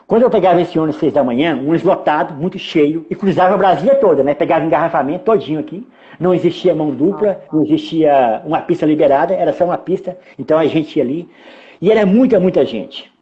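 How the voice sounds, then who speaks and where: Ordinary pitch movement runs through speech delivered very quickly. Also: man, high pitch for a man. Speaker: filmmaker. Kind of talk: interview. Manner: fast; clipped words.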